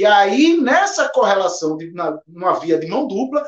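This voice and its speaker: Very wide pitch swings mark a man's speech, delivered at a moderate pace. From Brazil, Recife. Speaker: teacher and social media educator. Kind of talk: casual discussion podcast.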